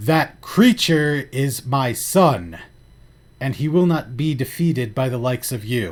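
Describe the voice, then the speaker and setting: A man puts on a loud, booming character voice at a medium pitch, speaking at a fairly slow pace. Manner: defiant.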